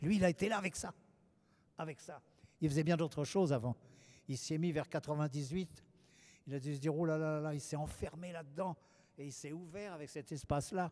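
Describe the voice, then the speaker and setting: A man speaks at a fairly quick pace with long, frequent pauses. His fairly high voice has a dark, mellow tone and fairly even intonation. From France. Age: 70s. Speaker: painter. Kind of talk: public interview.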